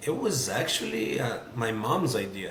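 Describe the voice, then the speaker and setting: With a Portuguese accent, a man speaks at medium pitch with ordinary pitch variation, with audible room echo and noticeable background noise. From Brazil. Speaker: sports journalist. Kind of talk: casual chat.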